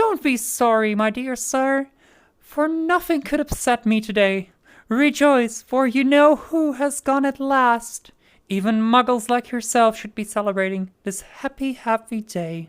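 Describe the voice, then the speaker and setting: This put-on character voice sounds female and squeaky, pitched high for a woman. It moves at a moderate pace. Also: very clean recording, silent background. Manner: cheerful, delighted.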